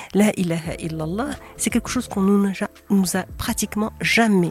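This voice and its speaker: A woman with a normal speaking voice, at a moderate pace and with ordinary pitch variation. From Morocco. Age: 60s. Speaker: essayist and retired doctor. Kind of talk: interview. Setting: in person.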